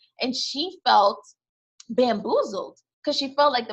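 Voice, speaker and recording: A woman's voice is high-pitched, with a bright, sharp tone. She speaks at a moderate pace with lively intonation. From United States. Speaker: podcast host. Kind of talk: casual chat. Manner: animated.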